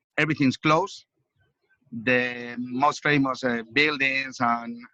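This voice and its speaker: A man's bright, sharp voice with a Spanish accent, medium in pitch, fairly even in intonation, at a fairly slow pace. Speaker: police officer. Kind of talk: casual chat. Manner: halting.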